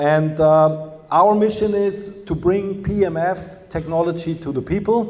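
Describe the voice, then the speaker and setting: With a Bavarian accent, a man speaks at a high pitch with ordinary pitch variation. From Germany, Bavaria. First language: German. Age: 50s. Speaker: company representative. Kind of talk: lecture.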